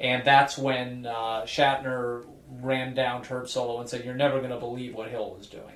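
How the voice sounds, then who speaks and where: A man talks with an American accent. Noticeable noise can be heard behind him. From Chicago. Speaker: podcast host.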